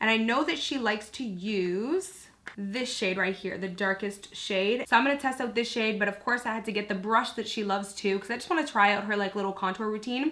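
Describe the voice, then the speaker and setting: The speech moves at a fairly quick pace with ordinary pitch variation, set against noticeable background noise. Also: woman. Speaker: beauty vlogger. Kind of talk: makeup tutorial. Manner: casual, filler-heavy.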